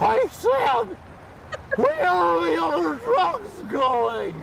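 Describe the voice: A put-on character voice speaks very slowly over loud background noise.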